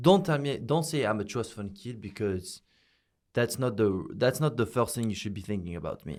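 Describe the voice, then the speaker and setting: In a French accent, a man speaks at a moderate pace and medium pitch with lively intonation, captured on a very clean recording with a silent background. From France, Paris. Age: young. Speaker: social media influencer. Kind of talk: interview.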